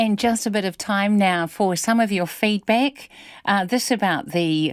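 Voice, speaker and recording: A woman talks in a New Zealand accent. The recording is very clean, with a silent background. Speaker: radio news host. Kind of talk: news presenting.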